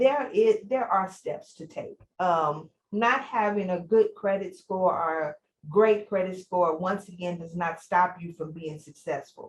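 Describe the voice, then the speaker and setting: Somewhat breathy, a woman's voice carries ordinary pitch variation and big swings in loudness. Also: medium pitch for a woman, fairly slow pace. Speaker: small business consultant. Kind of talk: webinar presentation.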